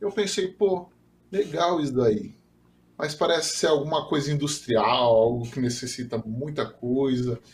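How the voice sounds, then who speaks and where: A man speaks at a fairly high pitch with lively intonation. Noticeable background noise can be heard. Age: 30s. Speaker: software developer and 3D printing enthusiast. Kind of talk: casual interview.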